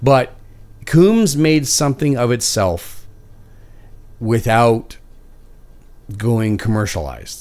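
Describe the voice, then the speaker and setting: A man with a Canadian accent speaks very slowly with lively intonation and long, frequent pauses. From Canada. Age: 40s. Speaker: podcast host. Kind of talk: casual chat. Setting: live stream. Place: home room. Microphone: studio mic.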